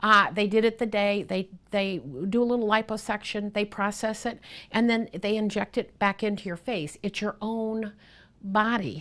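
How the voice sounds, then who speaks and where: A woman with a medium pitch talks at a moderate pace in a plain, everyday voice. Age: 60s. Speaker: plastic surgery patient. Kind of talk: patient testimonial interview answer.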